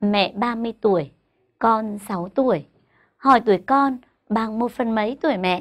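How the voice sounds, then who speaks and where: Against a quiet background, a woman speaks very slowly in a fairly high pitch with lively intonation. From Vietnam. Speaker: primary school teacher. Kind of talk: tutorial. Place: studio. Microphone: lapel.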